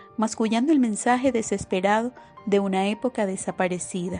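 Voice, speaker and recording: The speaker has a Venezuelan accent and talks at a moderate pace with ordinary pitch variation. Music plays in the background. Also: woman. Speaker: audiobook narrator. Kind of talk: audiobook novel reading.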